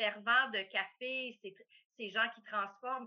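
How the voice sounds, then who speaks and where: Fairly even intonation at a very slow pace. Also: woman. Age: 50s. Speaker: coffee company owner. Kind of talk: interview. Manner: hesitant, many fillers.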